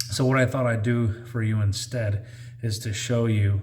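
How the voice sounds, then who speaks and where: A man's moderate-paced speech comes with audible room echo and noticeable background noise. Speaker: outdoors and survival vlogger. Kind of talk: casual vlog talk to camera. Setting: outdoors on a trail; in a garage. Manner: halting, improvised with fillers.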